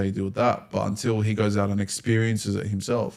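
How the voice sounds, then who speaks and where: At a very fast pace, a man with an Australian accent speaks in a fairly low voice with monotone, flat intonation. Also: very clean recording, silent background. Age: 20s. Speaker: podcast host. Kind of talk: casual chat.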